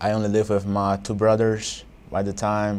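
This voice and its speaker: A man speaks in a fairly low pitch at a moderate pace. His intonation stays monotone and flat. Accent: Portuguese. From Angola. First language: Portuguese. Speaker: college student. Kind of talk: interview.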